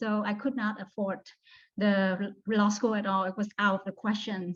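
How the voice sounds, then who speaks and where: A woman speaks with a Vietnamese accent. Her voice is fairly high in pitch and somewhat breathy. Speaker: law student. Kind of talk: testimony. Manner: hesitant, with frequent fillers.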